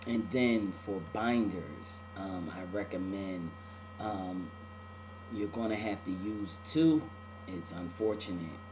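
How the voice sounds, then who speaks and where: At a very slow pace, a man with a fairly low pitch leaves long, frequent pauses. Noticeable background noise and audible room echo come through. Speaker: video blogger. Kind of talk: video diary. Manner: casual, many filler words.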